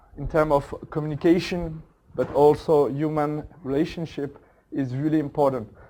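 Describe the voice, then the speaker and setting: In a very clean recording with a silent background, a man with a French accent speaks fairly slowly, his fairly high pitch carrying a dark, mellow tone and fairly even intonation. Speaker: agile coach and workshop facilitator. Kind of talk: conference talk. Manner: halting, many fillers.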